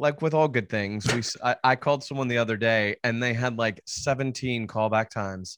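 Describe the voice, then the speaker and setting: With a plain, everyday voice at medium pitch, a man talks at a fairly quick pace with hardly any pauses and fairly even intonation, in a dry, close sound with no echo. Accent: American. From US South, Nashville, Tennessee. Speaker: real estate agent and investor. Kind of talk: interview.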